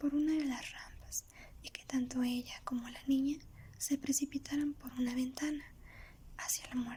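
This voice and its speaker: Soft-spoken and monotone, the voice moves at a moderate pace with flat intonation. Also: woman. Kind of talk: ASMR soft-spoken storytelling. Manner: soft-spoken, relaxing.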